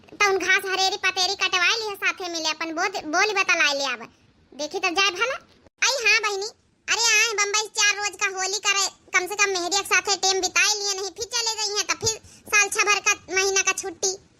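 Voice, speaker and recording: A woman puts on a squeaky, cartoonish character voice at an extremely high pitch, talking at a fairly quick pace with fairly even intonation. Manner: nagging, sharp.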